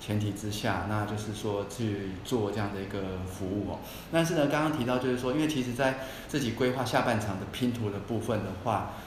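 Fairly low male voice at a fairly quick pace, with audible room echo and noticeable background noise. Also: ordinary pitch variation. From Taiwan. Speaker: former bank manager rejoining workforce. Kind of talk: casual interview chat.

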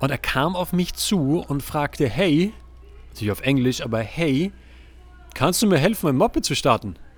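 A man with a fairly high pitch speaks in an animated tone with lively intonation. His pace is moderate, broken by long, frequent pauses. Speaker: relationship podcast host. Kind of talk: solo podcast monologue. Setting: outdoors on a terrace, recording on laptop. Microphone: laptop and external microphone.

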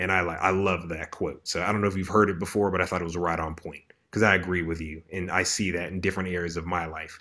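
A man with an American accent speaks very fast, barely pausing at all. His very deep, low voice has a bright, sharp tone and a flat, monotone delivery. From Maryland. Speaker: podcast host. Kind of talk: casual chat. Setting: video call.

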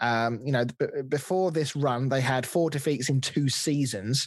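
A man with an English accent on a very clean recording, silent background. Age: 30s. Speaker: football podcast host. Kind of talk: casual chat.

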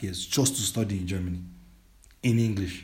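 A man with a Nigerian accent speaks in a somewhat breathy voice. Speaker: educational consultant. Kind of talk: interview.

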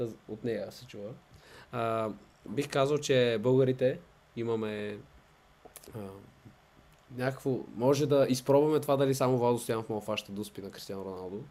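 A dark, mellow tone at a moderate pace, with ordinary pitch variation, big swings in loudness, and long, frequent pauses. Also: man, medium pitch for a man. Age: 20s. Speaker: professional football goalkeeper. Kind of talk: interview.

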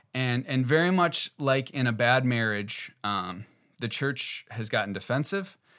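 At a fairly slow pace, a man speaks in a bright, sharp tone at medium pitch with lively intonation. The recording is very clean, with a silent background. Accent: American. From US Midwest, northeast Wisconsin. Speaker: podcast host. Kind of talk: solo podcast commentary. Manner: halting, many fillers.

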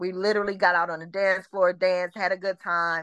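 Against a quiet background, a woman with an American accent and an unremarkable speaking voice speaks at a medium pitch and a fairly quick pace. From Detroit, Michigan. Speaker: podcast guest, former Freaknik attendee. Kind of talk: casual chat.

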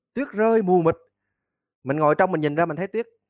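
With a Southern Vietnamese accent, a man talks at a high pitch in a dry, close recording with no echo. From Mekong Delta, Vietnam (Tân Châu, An Giang). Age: 40s. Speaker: university lecturer and cải lương researcher. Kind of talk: interview.

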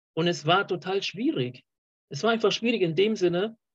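The man's pitch varies in an ordinary way. He talks at a moderate speed. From Colombia. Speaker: podcast host. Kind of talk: casual interview chat. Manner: halting, many fillers.

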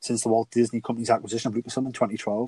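A man with a British accent and a dark, mellow tone speaks at a very fast pace and medium pitch in a monotone, flat way, with a dry, close sound with no echo. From UK. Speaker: podcast co-host. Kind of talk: casual chat.

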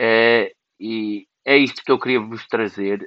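A man's voice with fairly even intonation. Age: 20s. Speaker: podcaster. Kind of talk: personal monologue. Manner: halting.

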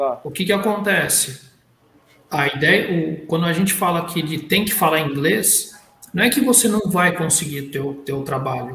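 Noticeable background noise and audible room echo surround a man with a high voice. He speaks at a moderate pace with ordinary pitch variation. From Brazil. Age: 40s. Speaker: panelist. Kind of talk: casual chat.

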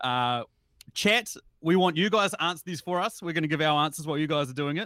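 Very fast speech with ordinary pitch variation comes in a New Zealand accent, dry and close with no echo. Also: man. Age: 30s. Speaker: podcast host. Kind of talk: casual livestream chat.

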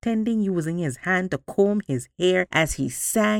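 Intonation here is lively. The voice reads aloud naturally.

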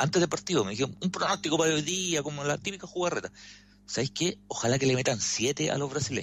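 A man with a Chilean accent speaks at a very fast pace and a fairly high pitch. His intonation is lively, with some vocal fry. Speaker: sports commentator. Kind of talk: radio sports commentary.

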